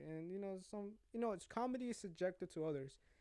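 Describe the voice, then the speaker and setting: A man talks in a dark, mellow tone. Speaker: podcast host. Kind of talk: casual monologue. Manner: rambling, sidetracked.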